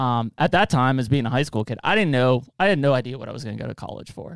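An ordinary speaking voice with ordinary pitch variation, recorded dry and close with no echo. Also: man. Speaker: podcast host. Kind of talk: casual interview.

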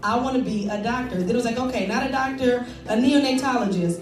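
A woman with an American accent talks very fast at a high pitch with fairly even intonation. Audible room echo and noticeable background noise fill the recording. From Detroit. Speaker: assistant principal and youth mentor. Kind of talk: panel discussion / testimony.

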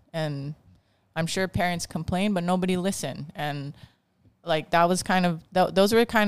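In a Hawaiian accent, a woman with a fairly low pitch speaks at a moderate pace and with fairly even intonation. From Hawaii (Kauai). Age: 40s. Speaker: dance teacher and council candidate. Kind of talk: casual chat.

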